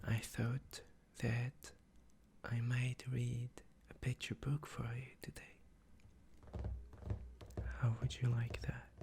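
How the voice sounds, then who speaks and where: Whispering and soft-spoken, the voice moves at a very slow pace with long, frequent pauses. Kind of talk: casual intro to camera. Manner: soft-spoken, whispering.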